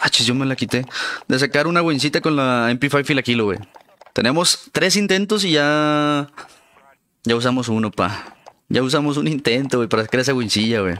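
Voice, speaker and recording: Lively intonation and a bright, sharp tone mark this man's medium-pitched voice, which moves at a moderate pace with very even loudness. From Mexico, Durango. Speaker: gaming streamer. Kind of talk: live gameplay stream commentary. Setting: live stream, home setup. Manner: animated.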